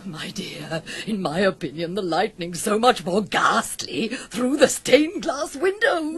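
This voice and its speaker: At a fairly slow pace, a woman puts on a character voice at medium pitch. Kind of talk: 1970s BBC radio musical acting. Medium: old radio play. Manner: breathy, given to gasps and sighs.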